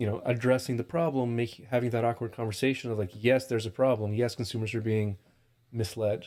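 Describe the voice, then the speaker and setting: A man with a slight Russian accent speaks very fast in a medium pitch, with ordinary pitch variation. His tone is dark and mellow, and the recording is very clean with a silent background. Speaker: cannabis testing lab founder. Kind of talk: podcast interview.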